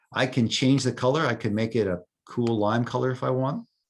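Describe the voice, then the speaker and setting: This man speaks at medium pitch and a moderate pace, his pitch varying in an ordinary way against a quiet background. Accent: New York. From New York. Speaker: software volunteer presenter. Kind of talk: tutorial. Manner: casual, hesitant with fillers.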